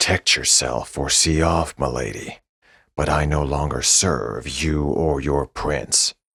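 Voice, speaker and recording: A man does a put-on character voice with a very deep, low pitch, at a fairly slow pace. The sound is dry and close with no echo, the loudness very even and the intonation fairly even. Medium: read story. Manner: terse, respectful.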